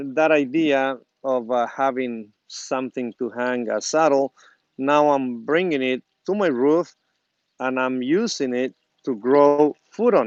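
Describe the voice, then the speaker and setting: This man speaks very slowly with a Spanish accent. The sound is dry and close, with no echo. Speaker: gardening YouTuber. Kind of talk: casual how-to video. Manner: halting, many fillers.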